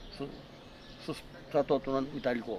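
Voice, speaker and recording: A man speaks over noticeable background noise. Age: 80s+. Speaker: war survivor. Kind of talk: testimony. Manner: halting.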